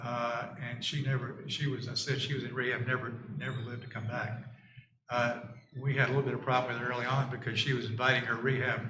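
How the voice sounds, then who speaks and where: Amid audible room echo, a man in a Southern US accent speaks at a fairly quick pace with fairly even intonation. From US South. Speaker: neighbor testifying at public hearing. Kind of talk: testimony. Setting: town board meeting. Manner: halting, many fillers and restarts.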